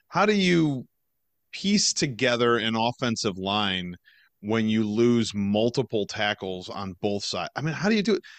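A man's unremarkable speaking voice at medium pitch, fairly slow, with lively intonation. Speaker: podcast host. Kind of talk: casual sports podcast chat.

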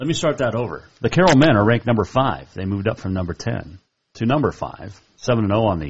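American man with a mid-range voice, vocal fry, very wide pitch swings and a very fast pace. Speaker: sports radio host. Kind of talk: sports talk show. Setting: studio.

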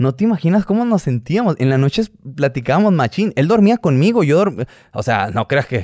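The pitch swings very widely at a fairly quick pace. The sound is dry and close with no echo, on a very clean recording with a silent background. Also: man. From Hermosillo, Sonora, northern Mexico. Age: 30s. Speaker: YouTuber, businessman. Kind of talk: casual interview chat.

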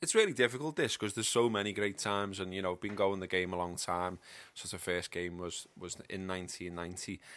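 With a Liverpool accent, a man speaks at a fairly quick pace, his pitch very deep and low and his intonation fairly even. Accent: Liverpool (Scouse). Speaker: football podcast pundit. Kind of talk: casual chat.

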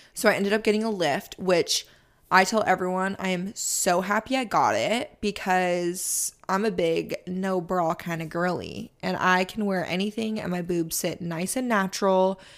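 In a very clean recording with a silent background, a woman with an unremarkable speaking voice and a medium pitch talks at a moderate pace, with fairly even intonation and hardly any pauses. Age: 20s. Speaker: podcast host and social media creator, former ICU nurse. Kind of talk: casual solo Q&A. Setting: studio.

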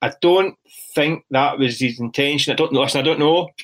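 A man with a Glaswegian accent talks at a very fast pace. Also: very clean recording, silent background. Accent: Glaswegian Scottish. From Scotland, east end of Glasgow. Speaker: football journalist. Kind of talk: casual chat.

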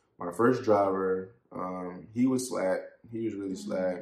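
A man speaks at a fairly slow pace with a fairly low pitch and fairly even intonation. Audible room echo surrounds his voice. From Columbia, South Carolina. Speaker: trucking company owner. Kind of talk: casual interview.

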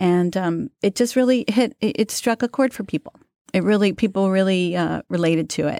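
A woman with an American accent speaks at a moderate pace in a fairly low pitch, her tone dark and mellow. The recording is very clean with a silent background, and the sound is dry and close with no echo. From New York City, Queens. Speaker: magazine editor. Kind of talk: casual interview.

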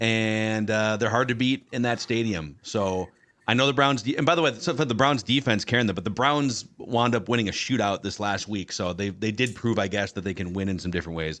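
This man has an American accent and a plain, everyday voice. His pitch is fairly low with ordinary variation, and he speaks at a fairly quick pace. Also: hardly any pauses. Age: 30s. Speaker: podcast host. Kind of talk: casual chat.

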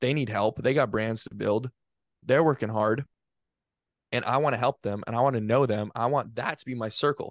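Speaking at a moderate pace with long, frequent pauses, a man with a medium-pitched voice keeps his intonation fairly even, the sound dry and close with no echo over a quiet background. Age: 20s. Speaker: college student and podcast producer. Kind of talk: casual interview chat.

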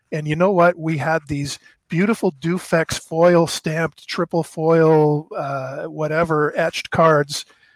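A man with a Canadian accent in an ordinary speaking voice, fairly high in pitch and fairly even in intonation, with a dry, close sound, no echo and a very clean, silent background. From Canada, eastern Ontario. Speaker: former card company executive. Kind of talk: interview, storytelling.

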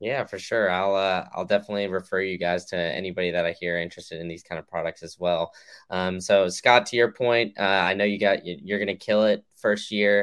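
A normal speaking voice from a man, fairly low in pitch, with fairly even intonation, a fairly quick pace and hardly any pauses. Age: 20s. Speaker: podcast host. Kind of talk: casual interview.

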